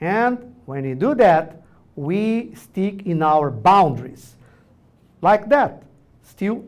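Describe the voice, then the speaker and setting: A man with a Brazilian Portuguese accent speaks with very wide pitch swings. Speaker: orthodontics professor. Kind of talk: lecture. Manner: loud; animated.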